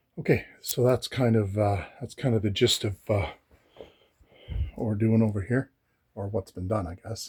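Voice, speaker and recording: The voice is dark, mellow and somewhat breathy, with ordinary pitch variation and a dry, close sound with no echo. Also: man. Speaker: DIY woodworking vlogger. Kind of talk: casual tutorial. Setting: at home. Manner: hesitant, many fillers.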